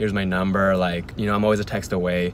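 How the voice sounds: At a fast pace, a man talks low in pitch with little pitch movement.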